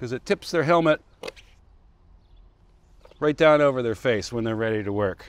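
A man's voice comes through at a moderate pace with a dry sound and no echo. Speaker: presenter. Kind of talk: tutorial. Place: street.

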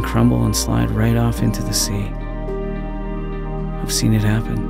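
Clear music plays behind a man who speaks very slowly, the sound dry with no echo. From Canada. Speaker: voice actor. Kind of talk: dramatic scripted monologue. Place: studio. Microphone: studio mic.

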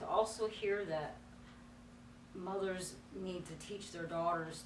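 A woman talks with an American accent over noticeable background noise. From North Carolina. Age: 40s. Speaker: ministry student. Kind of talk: personal testimony. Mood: earnest, reflective. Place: classroom.

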